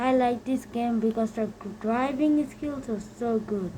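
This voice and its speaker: A woman with monotone, flat intonation against noticeable background noise. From Bangladesh. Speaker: gaming youtuber. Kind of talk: gameplay commentary. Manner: halting.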